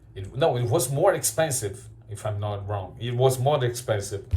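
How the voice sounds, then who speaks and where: In a room with audible echo, a man speaks at a fairly slow pace in a dark, mellow, somewhat breathy tone with ordinary pitch variation. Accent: Brazilian Portuguese. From Brazil. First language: Portuguese. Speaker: card shop owner and YouTuber. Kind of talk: opinion commentary video. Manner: halting, frequent repetitions.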